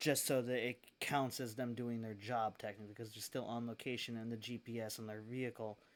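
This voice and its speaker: In a very clean recording with a silent background, a man speaks quietly at a medium pitch with monotone, flat intonation. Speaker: gaming streamer. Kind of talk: live gameplay stream chat. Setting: streaming from home. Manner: quiet, lowered voice.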